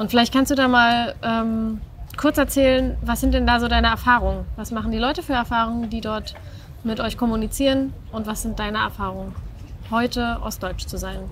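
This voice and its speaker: Talking at a moderate pace, a woman comes through with light noise in the background. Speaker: interviewer. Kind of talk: interview questions. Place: street.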